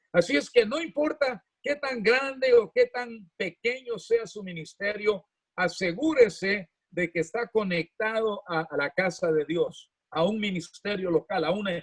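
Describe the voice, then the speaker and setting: Speaking at a fairly slow pace, a man has a high pitch and lively intonation. The sound is dry and close with no echo. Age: 80s+. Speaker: pastor. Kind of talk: sermon.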